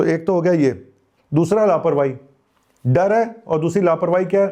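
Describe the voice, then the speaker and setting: A man's dark, mellow tone at a moderate pace, with ordinary pitch variation. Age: 50s. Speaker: doctor, health channel host. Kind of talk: health advice monologue. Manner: casual, colloquial; animated, scolding.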